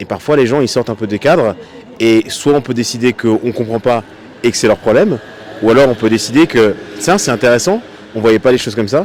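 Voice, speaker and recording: Over noticeable background noise, a man with a medium pitch and ordinary pitch variation talks at a fairly quick pace broken by long, frequent pauses. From France. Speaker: passer-by interviewee. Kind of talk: street interview.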